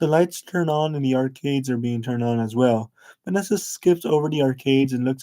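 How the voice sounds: Pitch varies in an ordinary way in this natural reading voice.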